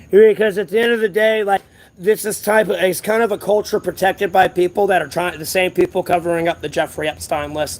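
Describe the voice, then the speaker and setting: The voice is loud, with an American accent. It moves at a fairly quick pace with fairly even intonation. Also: man, high pitch for a man. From US South. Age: 30s. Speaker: homeless livestreamer. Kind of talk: casual livestream chat. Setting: outdoors at a closed strip mall.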